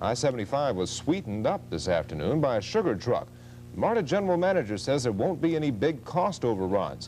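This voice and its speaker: A man with an American accent and medium pitch speaks fairly quickly, his voice showing very wide pitch swings, vocal fry and very even loudness. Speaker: television news anchor. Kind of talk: television news anchor read. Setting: 1970s broadcast recording.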